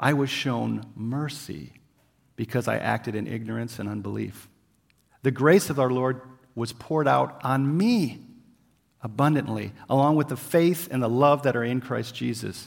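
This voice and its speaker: An unremarkable speaking voice from a man at a moderate pace, medium pitch and ordinary pitch variation, in a very clean recording with a silent background. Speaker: missionary preacher. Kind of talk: sermon. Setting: church. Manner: casual, conversational.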